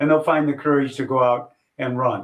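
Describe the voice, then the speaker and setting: An unremarkable speaking voice, a man's, fairly high-pitched, at a moderate pace with fairly even intonation. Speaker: retired race announcer. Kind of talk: interview answer.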